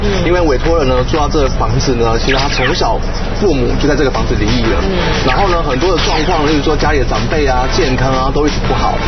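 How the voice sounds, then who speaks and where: Loud music plays in the background as the speech runs at a very fast pace. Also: man. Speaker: feng shui teacher guest. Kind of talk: explanatory TV commentary. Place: street. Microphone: lapel.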